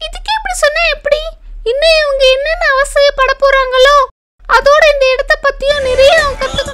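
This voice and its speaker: A cartoonish character voice from a woman, extremely high in pitch. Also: moderate pace. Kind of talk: children's bedtime cartoon.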